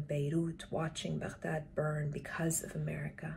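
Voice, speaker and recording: Against light background noise, a woman with a very deep, low pitch speaks somewhat breathily at a fairly slow pace, her intonation monotone and flat. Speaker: poet reading her own work. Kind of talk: poetry reading. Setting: online live stream session. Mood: calm, earnest, intimate. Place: home room. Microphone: webcam.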